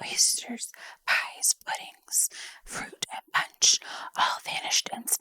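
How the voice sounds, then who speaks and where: A whisper moves at a very slow pace in a dry, close sound with no echo. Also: woman. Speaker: vtuber ASMR streamer / storyteller. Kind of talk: soft-spoken ASMR audiobook reading, whispered storytelling. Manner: soft-spoken, whispered narration.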